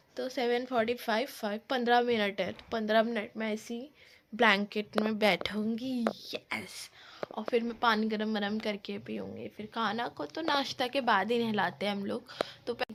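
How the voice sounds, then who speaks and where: Against noticeable background noise, a woman with a fairly high pitch speaks fairly slowly with fairly even intonation. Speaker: vlogger. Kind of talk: casual vlog chat. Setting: at home, sitting in a blanket.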